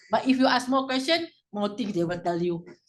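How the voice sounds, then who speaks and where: A woman with a Malaysian accent speaks at a fairly quick pace. Her intonation is lively. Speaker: former anti-corruption officer. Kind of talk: panel discussion.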